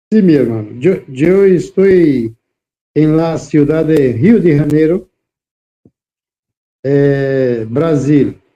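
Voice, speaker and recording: A man speaks at a very slow pace with long, frequent pauses and very even loudness. His voice is fairly high in pitch, with ordinary pitch variation and a dark, mellow tone. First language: Portuguese (speaking Spanish). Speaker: preacher. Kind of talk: interview. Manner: halting.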